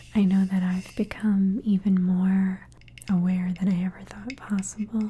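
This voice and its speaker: A woman speaks in a gentle tone at a medium pitch with monotone, flat intonation and a fairly slow pace. Noticeable background noise is present. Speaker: ASMR artist. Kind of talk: ASMR demonstration to camera. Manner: soft-spoken, gentle.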